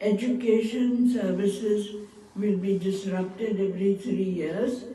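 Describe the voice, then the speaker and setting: Over noticeable background noise and audible room echo, a woman talks very slowly. Her pitch is medium, with fairly even intonation. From northern India (Punjab). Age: 90s. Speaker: retired physician. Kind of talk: ceremonial speech. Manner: halting.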